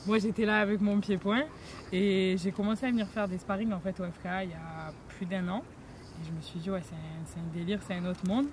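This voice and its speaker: A plain, everyday voice from a woman at medium pitch, fairly quick pace and ordinary pitch variation. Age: 20s. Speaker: MMA fighter. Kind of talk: casual interview.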